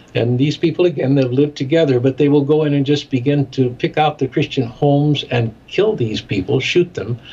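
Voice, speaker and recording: Speaking quickly with hardly any pauses, a man with a Midwestern accent has a fairly high, somewhat breathy voice with a dark, mellow tone and ordinary pitch variation. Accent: American Midwestern. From US Midwest (Chicago). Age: 70s. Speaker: ministry director and documentary maker. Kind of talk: interview.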